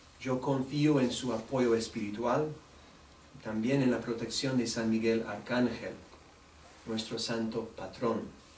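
A man's medium-pitched voice with a non-native accent, monotone and flat, very slow with long, frequent pauses, audible room echo and light background noise. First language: English (speaking Spanish). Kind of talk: press conference statement. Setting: news conference. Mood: warm, earnest. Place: meeting room. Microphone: podium.

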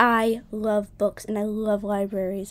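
Using a put-on character voice, a woman speaks at a medium pitch and fairly slow pace in a monotone, flat intonation. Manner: silly, playful.

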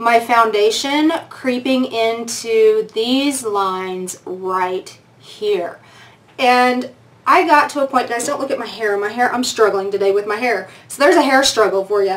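The speaker is a woman using ordinary pitch variation. She goes at a fairly slow pace. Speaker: beauty vlogger. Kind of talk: casual vlog chat. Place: home room.

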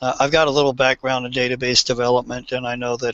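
Over a quiet background, a man speaks at medium pitch in a monotone with flat intonation. The sound is dry with no echo. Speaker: search engine optimization consultant. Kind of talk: panel discussion. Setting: video call. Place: office. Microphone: headset.

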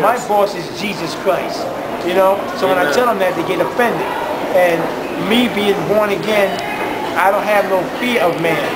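A man at a moderate pace with long, frequent pauses over loud background noise. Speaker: street preacher. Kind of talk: interview answer. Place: station. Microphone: phone near.

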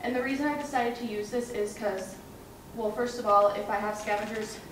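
A woman talking at a fairly quick pace, with audible room echo and noticeable background noise. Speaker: presenter. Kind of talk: research presentation. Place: hall. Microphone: camera far.

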